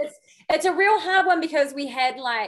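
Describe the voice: A woman speaks at a high pitch and moderate pace. Her intonation is lively.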